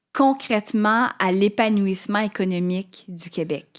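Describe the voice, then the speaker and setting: A woman talks at a very slow pace, at medium pitch with ordinary pitch variation. The recording is very clean, the background silent. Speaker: podcast host. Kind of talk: interview question.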